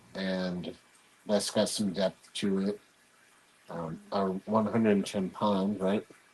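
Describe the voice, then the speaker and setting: A soft-spoken man mumbles at a very slow pace and a fairly low pitch, his intonation monotone and flat, with long, frequent pauses. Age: 40s. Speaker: hobbyist podcast host. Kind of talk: casual chat. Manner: mumbling.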